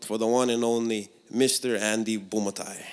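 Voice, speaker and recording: Speaking in a Hawaiian accent, a man keeps to a medium pitch. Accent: Hawaiian local English. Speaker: podcast host and stand-up comedian. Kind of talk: podcast introduction.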